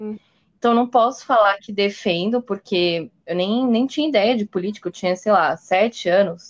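A woman talks at a fairly quick pace in an unremarkable speaking voice. Her pitch is medium, with ordinary variation. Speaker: podcast host. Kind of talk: casual chat.

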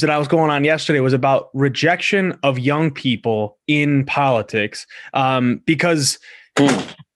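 Against a quiet background, a man with a fairly high pitch and an unremarkable speaking voice talks at a fairly slow pace. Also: very even loudness. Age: 20s. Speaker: podcast host. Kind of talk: casual interview.

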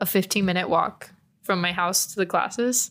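An unremarkable speaking voice from a woman with an American accent, medium in pitch, moderate in pace, with ordinary pitch variation. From Texas, San Antonio. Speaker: student podcast co-host. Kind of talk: casual chat. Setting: student newspaper office.

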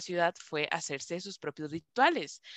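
A woman with a Costa Rican accent, fairly slow, her tone bright and sharp, in a dry, close sound with no echo. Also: quiet background. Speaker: podcast co-host, tarot reader. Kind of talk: casual chat.

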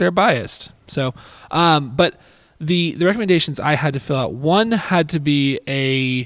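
Here is a man with a normal speaking voice. His pitch is fairly high and his pace fairly slow. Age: 20s. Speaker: admissions counselor and podcast host. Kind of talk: casual interview.

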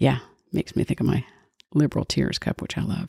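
A woman's animated, fairly quick delivery, with a dry, close sound and no echo. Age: 60s. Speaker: podcast host. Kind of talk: casual monologue.

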